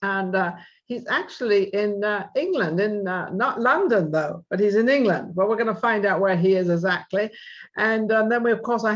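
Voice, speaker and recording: A woman with an ordinary speaking voice talks at medium pitch and a moderate pace, her intonation fairly even. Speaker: talk show host. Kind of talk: talk show hosting.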